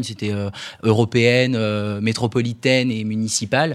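A man with a plain, everyday voice speaks at a moderate pace, medium pitch and fairly even intonation. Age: 20s. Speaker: young political activist. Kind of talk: panel discussion.

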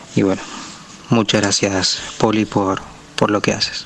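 Amid noticeable background noise, a man speaks at a fairly slow pace in a fairly low voice with monotone, flat intonation. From Chile. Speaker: listener sending a voice message. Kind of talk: recorded voice message. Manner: halting, with fillers and repetitions.

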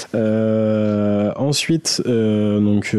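The man's voice has a dark, mellow tone. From Saudi Arabia (Algerian family). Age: 30s. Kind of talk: personal story.

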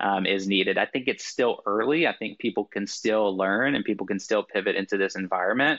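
A man with an American accent has a plain, everyday voice, fairly low in pitch with ordinary variation. He talks at a fairly quick pace with hardly any pauses. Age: 30s. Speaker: sales executive and social selling coach. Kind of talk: interview.

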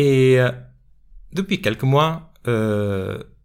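A man with a Portuguese accent is heard in a very clean recording against a silent background. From Portugal. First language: Portuguese (speaking French). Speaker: sales coach and podcast host. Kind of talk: solo podcast monologue. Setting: studio. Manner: hesitant, many fillers.

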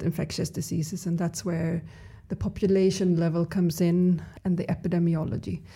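Her pitch sits at a medium level for a woman. The woman's voice is somewhat breathy with a dark, mellow tone. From Sweden, Stockholm. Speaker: epidemiologist and scientist. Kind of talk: interview.

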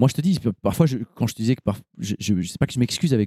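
A man with a dark, mellow tone speaks very fast at a medium pitch, swinging his pitch very widely. The sound is dry and close, with no echo. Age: 40s. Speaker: co-founder of a fathers' media channel. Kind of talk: casual chat.

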